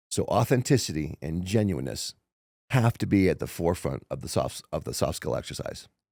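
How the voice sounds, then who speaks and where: A man speaks with a dark, mellow tone, vocal fry and very wide pitch swings, on a very clean recording with a silent background. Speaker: motivational speaker. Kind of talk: casual chat. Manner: fast; slurred.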